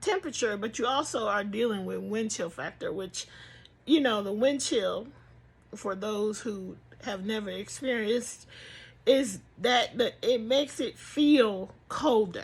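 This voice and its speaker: A somewhat breathy woman's voice in a relaxed tone, fairly slow, with ordinary pitch variation. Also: fairly high pitch for a woman. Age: 50s. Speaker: crochet vlogger. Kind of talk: casual chat. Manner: relaxed, conversational.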